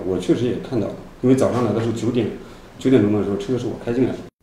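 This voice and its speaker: A man speaks at a very fast pace. Audible room echo and light background noise surround him. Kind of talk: interview answer. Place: office. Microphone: handheld.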